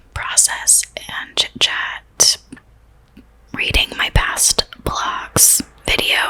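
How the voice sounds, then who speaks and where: A woman whispers at a very slow pace with long, frequent pauses. Noticeable background noise is present. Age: 20s. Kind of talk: casual talk to camera. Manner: whispered.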